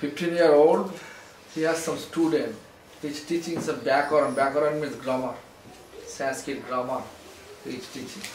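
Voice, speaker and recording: This man's voice sits at a fairly high pitch with fairly even intonation and long, frequent pauses. The room echo is audible, and there is noticeable background noise. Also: moderate pace. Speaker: spiritual teacher. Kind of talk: lecture.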